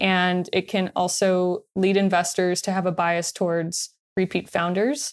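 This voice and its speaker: On a very clean recording with a silent background, a woman speaks at a fairly slow pace with a medium pitch, fairly even intonation and very even loudness. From Long Beach, California. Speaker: venture capital investor. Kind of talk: interview.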